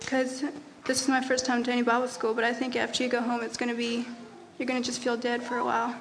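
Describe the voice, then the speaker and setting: Talking at a very fast pace, a woman with an American accent keeps a high pitch and monotone, flat intonation, with audible room echo and noticeable background noise. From Texas. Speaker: youth Bible school student. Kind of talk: testimony.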